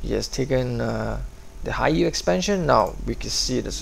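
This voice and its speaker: The man's speech is very slow. Noticeable background noise accompanies it. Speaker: gaming commentator. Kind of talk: game commentary, casual play-by-play. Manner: enthusiastic, casual.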